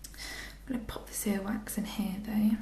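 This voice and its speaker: A gentle tone over noticeable background noise. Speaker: ASMR artist. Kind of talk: ASMR role play, doctor ear examination. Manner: soft-spoken, gentle.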